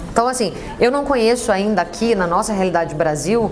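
A woman with a fairly high voice speaks at a fairly quick pace, with audible room echo and noticeable background noise. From Brazil. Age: 30s. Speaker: café entrepreneur. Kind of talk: interview.

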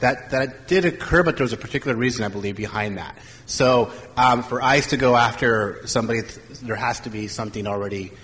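Against noticeable background noise, a man speaks very fast at medium pitch with ordinary pitch variation. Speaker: college staff member. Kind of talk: panel discussion. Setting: stage with audience. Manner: hesitant, repeats words.

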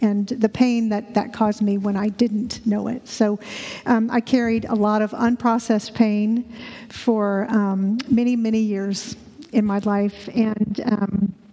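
Over noticeable background noise, a woman with a fairly high pitch speaks at a fairly slow pace in a monotone, flat intonation. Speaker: church member sharing personal story. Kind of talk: testimony. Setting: church. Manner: halting.

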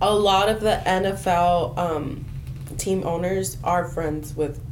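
A woman's very slow speech, with ordinary pitch variation, comes over noticeable background noise. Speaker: college student, PR major. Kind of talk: casual group discussion.

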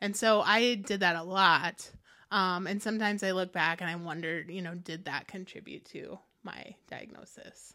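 On a very clean recording with a silent background, a woman with a Midwestern American accent speaks at a moderate pace in a medium pitch, her bright, sharp tone held to fairly even intonation amid big swings in loudness. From US Midwest, Quad Cities (Davenport, Iowa). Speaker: author and publisher. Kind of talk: casual interview.

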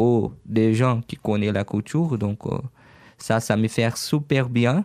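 At a very slow pace, a man talks at a medium pitch with ordinary pitch variation, in a dry, close sound with no echo. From Brazil, Franca (São Paulo state). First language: Portuguese (speaking French). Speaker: online shop owner. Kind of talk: radio interview. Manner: halting.

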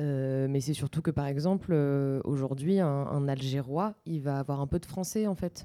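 Her voice is very deep and low, with a dark, mellow tone. This woman speaks at a fairly slow pace with ordinary pitch variation. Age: 20s. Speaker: radio DJ. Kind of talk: casual chat.

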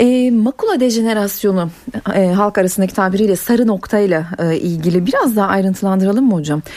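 The speech moves at a fairly quick pace with ordinary pitch variation and very even loudness. Noticeable background noise sits behind it. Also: woman, medium pitch for a woman. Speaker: radio host. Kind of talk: radio call-in show. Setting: studio.

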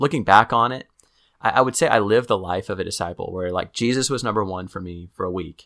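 Speaking very fast with an American accent, a man has a fairly low pitch, ordinary pitch variation and a bright, sharp tone. His loudness swings widely, and the recording is very clean with a silent background. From Kansas City. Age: 30s. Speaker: author and church leader. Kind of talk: interview conversation. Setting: in-person recording.

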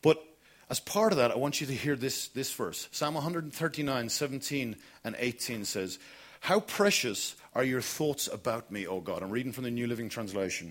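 Here is a man with a southern Irish accent at a medium pitch. His intonation is lively. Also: moderate pace. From Ireland, Kilkenny. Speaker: pastor. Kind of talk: sermon. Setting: church.

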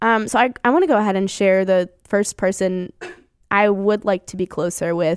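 Recorded very cleanly against a silent background with a dry, close sound and no echo, a woman with a plain, everyday voice speaks at a moderate pace in fairly even intonation. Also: medium pitch for a woman. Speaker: radio host. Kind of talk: casual chat.

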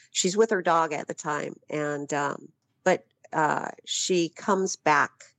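In an American accent, this voice moves at a very slow pace with fairly even intonation, recorded dry and close with no echo against a quiet background. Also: woman. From Phoenix, Arizona. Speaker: author. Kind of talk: interview.

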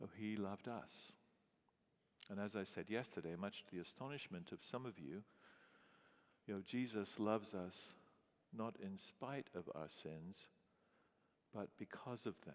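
A man with an English accent talks at a moderate pace, pitched fairly low with ordinary pitch variation. He takes long, frequent pauses. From England. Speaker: pastor. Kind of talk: sermon.

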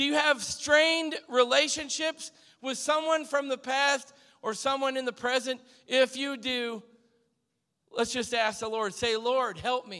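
A man speaks at a fairly slow pace in a raised, projected voice, his pitch extremely high with ordinary variation and a bright, sharp tone. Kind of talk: exhortation and prayer.

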